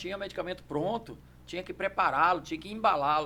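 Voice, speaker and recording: Very fast and fairly even in intonation, this man's voice sits high in pitch and has a bright, sharp tone. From Brazil, Brasília area (Sobradinho). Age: 60s. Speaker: judo master and champion. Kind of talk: podcast interview. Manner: hesitant, repeats words.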